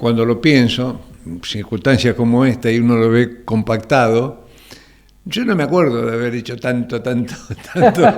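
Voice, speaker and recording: A man with a Rioplatense accent talks at a moderate pace. His medium pitch follows fairly even intonation. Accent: Argentine Rioplatense Spanish, voseo. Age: 70s. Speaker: retired biochemist. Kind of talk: TV interview. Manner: halting, repeats words.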